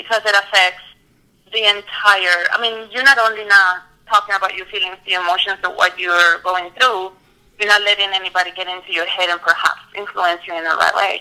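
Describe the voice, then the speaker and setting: In a Spanish accent, a woman talks at a fairly quick pace with a bright, sharp tone and fairly even intonation. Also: medium pitch for a woman. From Colombia, Medellin. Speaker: mental health counselor. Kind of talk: interview.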